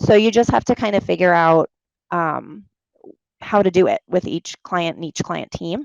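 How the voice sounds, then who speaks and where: Talking at a moderate pace with a slight New York accent, a woman uses lively intonation at a fairly low pitch. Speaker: medical writing consultant. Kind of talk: career talk Q&A. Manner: casual, animated.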